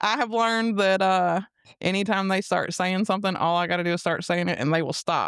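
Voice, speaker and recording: A woman's voice at very even loudness and fairly even intonation, on a very clean recording with a silent background. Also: medium pitch for a woman. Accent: Alabama. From US South, Mobile, Alabama. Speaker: guest sharing personal testimony. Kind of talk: casual testimony interview.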